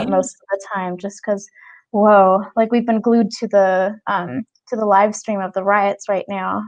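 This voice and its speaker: A woman speaks fairly slowly in an ordinary speaking voice, medium in pitch with fairly even intonation. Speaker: actress. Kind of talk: interview answer.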